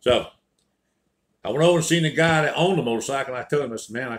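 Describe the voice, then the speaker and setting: Speaking very fast in a Southern US accent, a man with a fairly high voice uses ordinary pitch variation. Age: 70s. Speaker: storyteller. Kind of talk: casual storytelling monologue.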